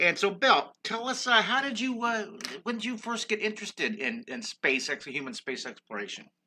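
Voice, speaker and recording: A man projects a raised voice with a high pitch and lively intonation. His tone is bright and sharp, and his pace is moderate. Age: 60s. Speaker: art teacher and live drawing streamer. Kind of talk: live stream interview. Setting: live video stream. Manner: animated.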